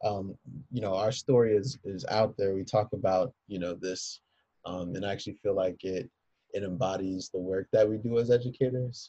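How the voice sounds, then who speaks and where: A man speaks at a moderate pace in a fairly low, somewhat breathy voice with a dark, mellow tone and fairly even intonation, the sound dry and close with no echo. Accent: American. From Philadelphia, US. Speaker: high school teacher. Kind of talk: casual interview.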